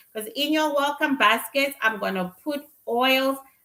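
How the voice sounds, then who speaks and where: Bright and sharp in tone, a woman speaks with a Zimbabwean accent. Her intonation is lively. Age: 50s. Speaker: spiritual reader and livestreamer. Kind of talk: casual livestream chat. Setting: livestream.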